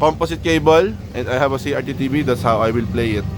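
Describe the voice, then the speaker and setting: A man speaks at a fairly quick pace with very wide pitch swings. Noticeable background noise is present. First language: not English. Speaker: gaming YouTuber. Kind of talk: casual vlog review. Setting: backyard hut. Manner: halting.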